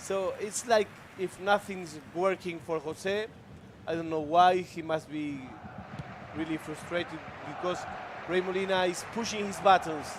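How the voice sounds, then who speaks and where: A man with a Spanish accent and high pitch at a fairly slow pace, fairly even intonation, long, frequent pauses and noticeable background noise. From Argentina. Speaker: esports commentator. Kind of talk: live commentary.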